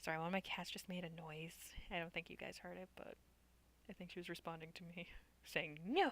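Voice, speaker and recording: The voice is quiet and moves at a fairly quick pace. Long pauses come often. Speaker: gaming youtuber. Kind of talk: let's play commentary, reading game text aloud. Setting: home at night, family sleeping. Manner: quiet, low volume.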